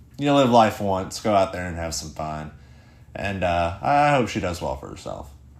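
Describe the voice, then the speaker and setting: A man talks at a moderate pace with very wide pitch swings. Room echo is audible around his voice. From Tennessee. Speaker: podcast host. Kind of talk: casual rant monologue. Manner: halting, many fillers and repeats.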